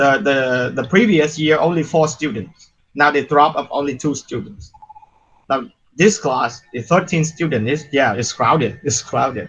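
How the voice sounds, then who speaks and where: Spoken at a moderate pace with lively intonation, the voice carries a Vietnamese accent. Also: man, fairly high pitch for a man. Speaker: university lecturer. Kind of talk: lecture.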